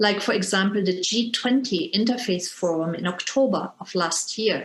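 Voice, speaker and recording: Talking at a fairly slow pace, a woman of medium pitch speaks in a German accent. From Germany. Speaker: interfaith educator and Zen teacher. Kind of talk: lecture. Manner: formal.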